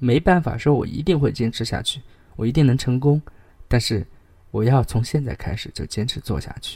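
A man talks at a medium pitch in a dark, mellow tone that is somewhat breathy. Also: ordinary pitch variation, moderate pace. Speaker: podcast host reading essays. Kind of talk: reading aloud; casual monologue.

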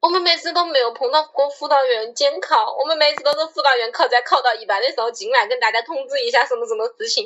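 In a Wuhan accent, a woman talks very fast in a high voice with lively intonation. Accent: Wuhan-accented Mandarin. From China, Wuhan. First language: Wuhan dialect (speaking Chinese). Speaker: podcast co-host. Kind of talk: casual chat.

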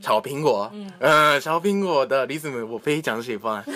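Lively intonation from a man with a Japanese accent. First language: Japanese (speaking Chinese). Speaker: university student, Chinese speech contest contestant. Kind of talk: casual chat. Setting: home recording, group around a table. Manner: halting, many fillers.

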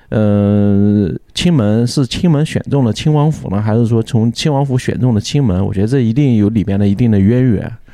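A man with a dark, mellow tone speaks at a moderate pace and medium pitch, with ordinary pitch variation, very even loudness and hardly any pauses. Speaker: podcast host. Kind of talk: casual chat. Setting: in a taproom. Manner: animated.

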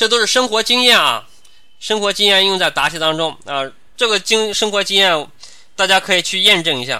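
A man with a high pitch talks in a raised, projected voice. His intonation is lively and his pace fairly quick. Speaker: civil service interview tutor. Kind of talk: online lecture. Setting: live online class platform.

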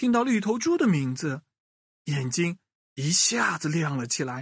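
A man's fairly high, fairly bright voice with a slightly husky edge and lively intonation, at a fairly slow pace, dry and close with no echo in a very clean recording with a silent background.

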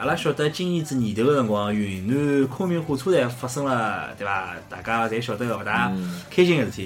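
Over noticeable background noise and audible room echo, a man with a medium pitch speaks at a fairly quick pace with lively intonation. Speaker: podcast host. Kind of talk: casual chat.

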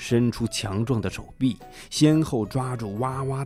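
Someone speaks in a natural reading voice.

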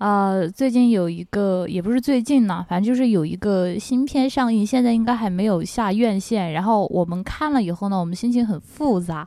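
A woman speaks at a moderate pace with hardly any pauses, her pitch in the middle range. Her tone is dark and mellow, with ordinary pitch variation. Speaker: podcast co-host. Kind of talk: casual chat.

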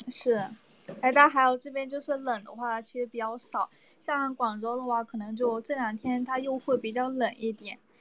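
Her voice is high-pitched, with a bright, sharp tone and fairly even intonation. The woman talks at a moderate pace. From Guangdong, Shantou. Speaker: live-stream caller. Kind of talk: casual chat.

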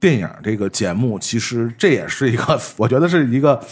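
Here a man has an unremarkable speaking voice and lively intonation. He moves along at a fairly quick pace. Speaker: podcast host. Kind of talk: casual chat.

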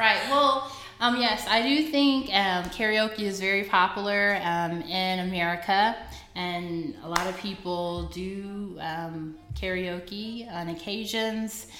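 Over background music and audible room echo, a woman speaks very slowly at a medium pitch with ordinary pitch variation. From US South, Fort Worth, Texas. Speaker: podcast co-host. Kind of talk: casual chat.

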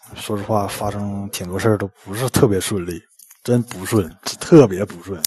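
At a moderate pace, a man with a Northeastern Chinese accent speaks in a fairly low pitch. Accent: Northeastern Mandarin. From Northeast China. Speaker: listener caller. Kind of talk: storytelling. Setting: live-stream voice call.

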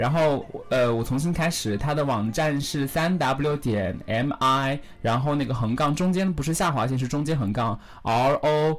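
Normal pitch movement, captured in a very clean recording with complete background silence. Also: man. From northern China. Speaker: internet radio host. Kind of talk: casual interview.

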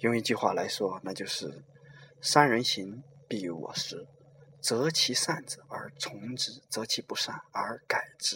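A man speaks at a very slow pace, his loudness swinging widely. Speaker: podcast host. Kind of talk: monologue talk. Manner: slower than his usual speech.

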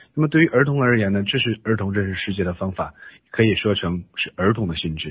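A man with a Chinese accent talks at a very fast pace with lively intonation. His voice is fairly low in pitch and somewhat breathy. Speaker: interpreter. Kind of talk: interpreting a lecture.

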